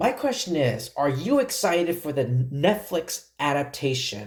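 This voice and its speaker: A man's somewhat breathy voice. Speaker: YouTube film commentator. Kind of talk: casual vlog review monologue. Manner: halting, stuttering.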